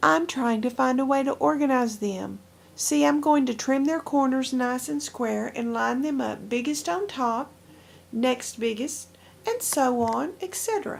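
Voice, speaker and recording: Using a croaky put-on character voice, a woman with a high pitch speaks at a moderate pace with lively intonation. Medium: read story. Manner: pompous, self-important.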